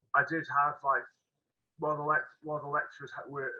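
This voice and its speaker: A man with a Potteries accent. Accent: Potteries (Stoke) English. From Stoke-on-Trent, England. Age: 30s. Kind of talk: interview. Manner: halting, many fillers.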